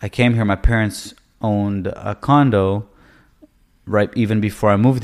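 Fairly even intonation marks this man's delivery. He has an unremarkable speaking voice with a fairly low pitch. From Canada. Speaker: real estate agent. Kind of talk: casual interview chat. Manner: casual.

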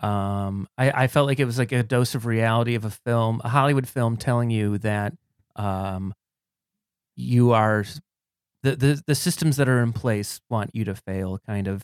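A man with an ordinary speaking voice and an American accent talks at a moderate pace in a medium pitch with ordinary pitch variation, the sound dry and close with no echo. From Cleveland, Ohio. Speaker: comedian. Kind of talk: casual chat.

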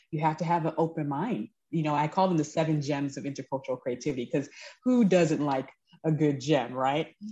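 A woman's very deep, low voice with a dark, mellow tone, at a fairly quick pace against a quiet background. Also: ordinary pitch variation. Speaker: speaker and creativity consultant, former teacher. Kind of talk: interview, casual conversation.

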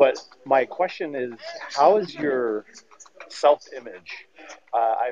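A man's voice over noticeable background noise. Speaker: caller. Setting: airport.

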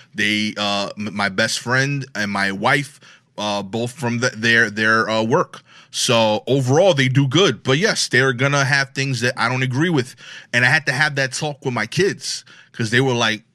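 A bright, sharp tone in a Brooklyn accent, on a very clean recording with a silent background. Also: man, medium pitch for a man, ordinary pitch variation, moderate pace. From Brooklyn, New York. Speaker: comedian. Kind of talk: casual chat.

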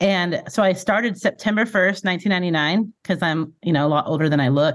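Here is a woman with a plain, everyday voice at a medium pitch and ordinary pitch variation. She talks at a fairly quick pace over a quiet background. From California, Bakersfield. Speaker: former youth minister and church executive. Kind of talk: casual interview.

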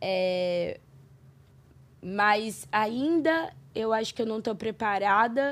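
A woman's fairly high voice in a Brazilian accent, very slow and lively in intonation, with long, frequent pauses. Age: 30s. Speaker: podcast guest. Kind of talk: casual interview.

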